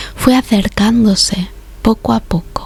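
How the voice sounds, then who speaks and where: Woman whispering in a calm tone at a fairly slow pace, music in the background. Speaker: ASMR narrator. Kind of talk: sleep story. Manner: whispered; slow, calm.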